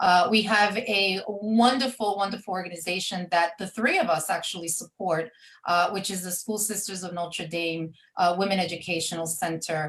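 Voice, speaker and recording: Her pitch medium and her intonation fairly even, a woman talks at a moderate pace. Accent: New York. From New York, Brooklyn. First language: Spanish. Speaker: event professional, community group founder. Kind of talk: radio talk show interview. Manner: hesitant fillers.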